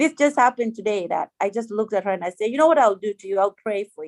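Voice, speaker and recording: Here a woman speaks in a normal speaking voice at a fairly high pitch, with ordinary pitch variation. The sound is dry and close, with no echo. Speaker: nurse. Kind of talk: health talk in prayer group video call.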